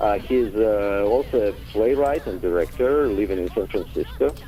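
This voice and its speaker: Over noticeable background noise, a man with a Russian accent talks at a fairly slow pace. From Ukraine / Russia. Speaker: theater director and actor. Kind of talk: radio interview. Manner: halting, many fillers.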